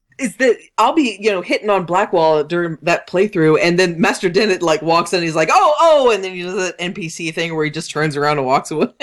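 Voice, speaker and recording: A woman speaks fairly quickly with hardly any pauses, in a normal speaking voice. Her pitch is fairly low, her intonation is lively, and the recording is very clean with a silent background. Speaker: podcast host. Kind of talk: casual chat.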